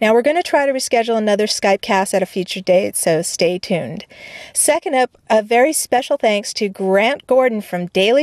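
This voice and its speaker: A woman with a plain, everyday voice talks at a fairly quick pace and fairly high pitch, with lively intonation and a dry, close sound with no echo. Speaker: podcast host. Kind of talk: scripted narration. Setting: studio.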